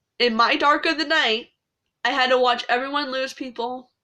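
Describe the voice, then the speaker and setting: A woman with a high pitch and a bright, sharp tone uses a raised, projected voice in a very clean recording with a silent background. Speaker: spiritual content creator. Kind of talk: casual monologue.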